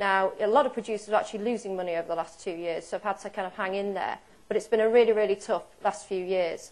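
A woman with a British accent at medium pitch, very fast, with fairly even intonation. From UK. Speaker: dairy cattle breeding expert; presenter. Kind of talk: conference seminar talk. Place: hall.

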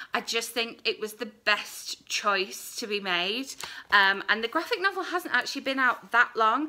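A woman talks at a moderate pace with lively intonation and a fairly high pitch. Her tone is bright and sharp. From UK. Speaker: book vlogger; book reviewer. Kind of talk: casual vlog review. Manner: rambling, hesitant. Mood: earnest, thoughtful. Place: home room. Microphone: phone near.

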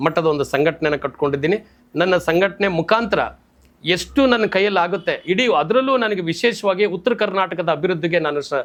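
Ordinary pitch variation across a high male voice. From Karnataka, Shivamogga (Malnad). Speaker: Kannada activist, organisation founder. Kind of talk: interview monologue.

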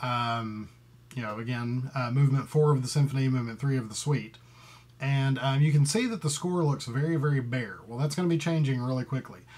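A man with a somewhat breathy voice talks at a fairly quick pace with ordinary pitch variation. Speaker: composer. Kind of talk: tutorial. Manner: hesitant, many fillers; thinking aloud while working. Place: home room. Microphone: webcam.

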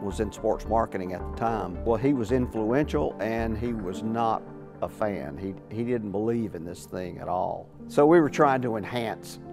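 Moderate-paced speech over clear music in the background. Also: man, fairly low pitch for a man. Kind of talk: interview answer. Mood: amused, enthusiastic. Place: garage. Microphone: lapel.

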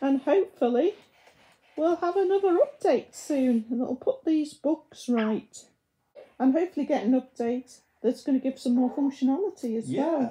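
This woman's high voice moves at a moderate pace. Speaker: reviewer. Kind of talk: casual vlog chat. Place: home room. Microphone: camera far.

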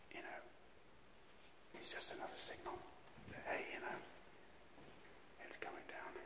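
Speech at a moderate pace under loud background noise. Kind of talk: casual vlog commentary. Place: hall. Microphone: phone near.

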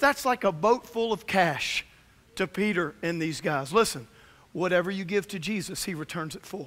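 A man's high-pitched voice, fairly bright in tone, with ordinary pitch variation at a moderate pace

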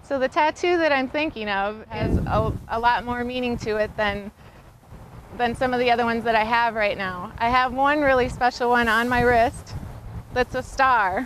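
High in pitch, a woman speaks with ordinary pitch variation. Noticeable noise sits in the background. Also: moderate pace. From US Midwest, South Dakota. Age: 30s. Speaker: motorcycle racer and custom bike shop co-owner. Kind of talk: casting video monologue.

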